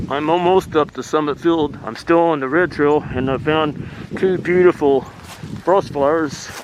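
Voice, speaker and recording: A man's fairly high voice at a moderate pace, fairly even in intonation, with noticeable background noise. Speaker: hiking vlogger. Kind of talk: vlog narration while hiking. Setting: outdoors.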